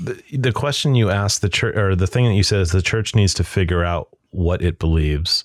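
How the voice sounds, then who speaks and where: A man with a normal speaking voice talks at a fairly quick pace with hardly any pauses and ordinary pitch variation, in a dry, close sound with no echo. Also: fairly low pitch for a man. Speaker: pastor and podcast host. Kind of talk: casual interview chat.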